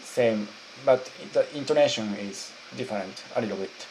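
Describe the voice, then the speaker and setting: Against noticeable background noise, a man talks at medium pitch and a moderate pace with ordinary pitch variation. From Japan. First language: Japanese. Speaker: YouTuber. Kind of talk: interview questions.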